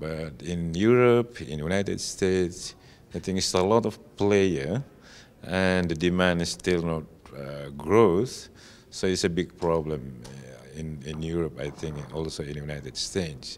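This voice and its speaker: A man with an Indonesian accent speaks at a very deep, low pitch and a fairly slow pace. His pitch varies in an ordinary way, while his loudness swings widely. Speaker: telecom executive. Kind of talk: interview. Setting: industry conference. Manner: halting.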